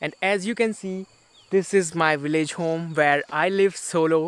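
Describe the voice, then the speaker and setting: A man speaks with an Indian accent. His voice is high. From India, Uttarakhand hills. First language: Garhwali. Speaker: travel vlogger. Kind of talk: casual vlog talk to camera. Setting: village home.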